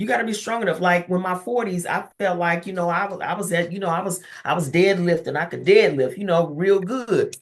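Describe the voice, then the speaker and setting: In a plain, everyday voice, a woman speaks fairly quickly at a medium pitch, with ordinary pitch variation and hardly any pauses. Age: 60s. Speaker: therapist and professor. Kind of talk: interview.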